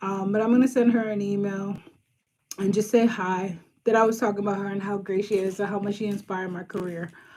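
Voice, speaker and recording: Speaking at a very fast pace, a woman uses a medium pitch and a monotone, flat intonation. Her tone is dark and mellow, with an American accent. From Boston, Brighton. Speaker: social worker and career coach. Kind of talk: casual live stream chat with viewers. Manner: casual, frequent um fillers.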